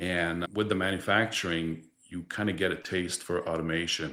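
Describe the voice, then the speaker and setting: In a Quebec accent, a man speaks with a very deep, low voice. His intonation is fairly even, and the recording is very clean with a silent background. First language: French. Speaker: distribution director. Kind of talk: podcast interview.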